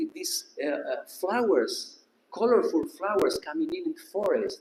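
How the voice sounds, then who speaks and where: In a non-native accent, a man speaks at a fairly slow pace with very wide pitch swings. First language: not English. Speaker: disciple sharing memories. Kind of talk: testimony. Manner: halting.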